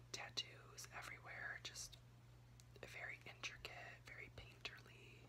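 Noticeable background noise accompanies the speech. A man talks at a fairly slow pace. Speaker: ASMR creator. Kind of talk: casual ramble recap talk to camera. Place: home room. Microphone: phone near.

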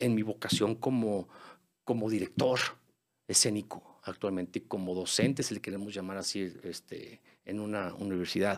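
A man with a Mexican accent speaks against a quiet background. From Mexico. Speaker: musical theatre singer and actor; podcast guest, stage actor. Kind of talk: casual interview; interview answer. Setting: studio. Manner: halting, repeats words. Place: studio. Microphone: studio mic.

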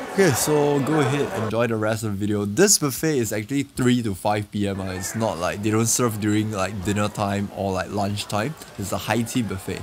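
There is noticeable background noise as a man speaks at a fairly low pitch with ordinary pitch variation. His pace is fairly quick, with hardly any pauses. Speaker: food vlogger. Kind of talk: casual vlog chat. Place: cafe.

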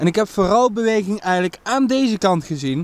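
A man at a moderate pace, in a dry sound with no echo. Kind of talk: casual vlog chat. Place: waterside. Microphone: phone near.

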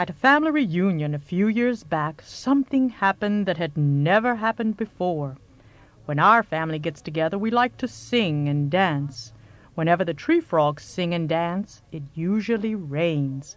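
A rumbling, female-sounding put-on character voice at middle pitch speaks at a moderate pace. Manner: laid-back, folksy.

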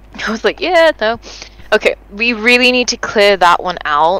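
A woman speaks at a moderate pace with a medium pitch and lively intonation. Noticeable background noise is present. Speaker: gaming video creator. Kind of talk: casual gameplay chat. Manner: animated.

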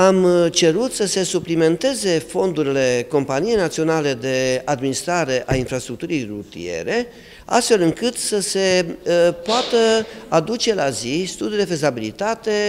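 A man with a high pitch speaks at a fairly slow pace over light background noise. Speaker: city mayor. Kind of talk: interview statement. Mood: displeased, critical. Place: office.

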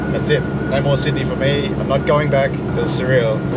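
Background noise is loud in this clip. A man goes at a fairly quick pace. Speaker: vlogger moving interstate. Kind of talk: casual vlog chat. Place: car. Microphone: camera far.

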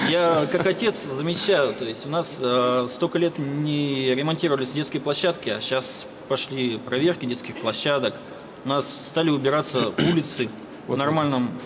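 Noticeable background noise accompanies the speech. The pace is moderate, and the pitch varies in an ordinary way. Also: man, fairly high pitch for a man. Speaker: factory worker. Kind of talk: formal question at meeting.

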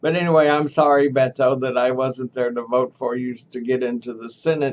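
A man with a Texan accent, fairly quick pace and monotone, flat intonation, over light background noise. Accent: Texan Southern US. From Texas, Dallas. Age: 80s+. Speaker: vlogger. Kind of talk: casual vlog monologue; casual vlog chat. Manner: halting, with repetitions. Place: home room. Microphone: webcam.

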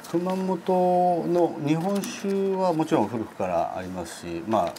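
There is light background noise. Over it, a man talks at a moderate pace. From Hokkaido, Sapporo. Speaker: sommelier and hotel staff. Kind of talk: interview answer. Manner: polite, formal, hesitant with fillers. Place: studio. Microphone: lapel.

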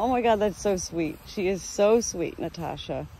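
With lively intonation and a moderate pace, a woman speaks in a dry sound with no echo over light background noise. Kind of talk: casual vlog chat. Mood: cheerful, laughing. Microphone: phone near.

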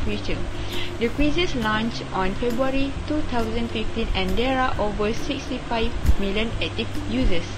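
Against loud background noise, a woman talks at a fairly slow pace. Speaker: presenter. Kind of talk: class presentation.

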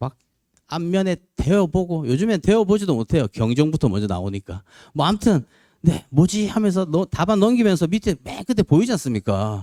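A man with a high, dark, mellow voice speaks at a moderate pace with very wide pitch swings, the sound dry and close with no echo on a very clean recording with a silent background. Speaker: lecturer for police promotion exams. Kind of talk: lecture.

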